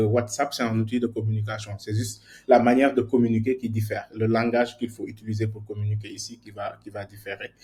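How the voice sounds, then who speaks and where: A man's fairly quick, somewhat breathy voice, dark and mellow in tone with monotone, flat intonation, over a quiet background. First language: more at ease in English than French (speaking French). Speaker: software engineer teaching a workshop. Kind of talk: online workshop lecture. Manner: halting, many repetitions and fillers.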